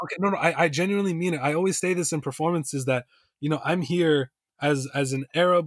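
In a plain, everyday voice, a man talks at a fairly quick pace with fairly even intonation, the sound dry and close with no echo and the recording very clean over a silent background. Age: 20s. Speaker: poet and hip-hop artist, teacher. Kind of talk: casual interview chat.

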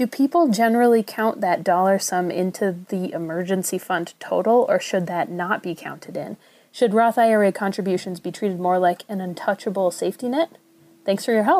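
In a Minnesotan accent, a woman talks at a moderate pace on a very clean recording with a silent background. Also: medium pitch for a woman, ordinary pitch variation. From Minnesota, US. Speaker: caller. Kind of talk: recorded listener question.

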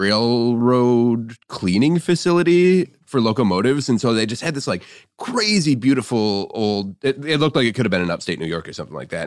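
An animated man with an American accent, medium in pitch and fairly quick in pace. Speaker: podcast guest, craft beer writer. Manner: casual, animated, frequent fillers like "like".

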